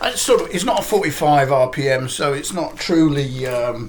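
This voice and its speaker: A man's fairly high voice at a fairly slow pace, with audible room echo and noticeable background noise. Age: 60s. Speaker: record collector YouTuber. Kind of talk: casual vlog talk. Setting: living room at home. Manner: halting, many fillers.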